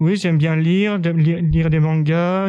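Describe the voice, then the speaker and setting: This man's voice sits fairly high. He keeps a moderate pace and fairly even intonation. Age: 20s. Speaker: sheltered workshop worker. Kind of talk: interview. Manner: halting.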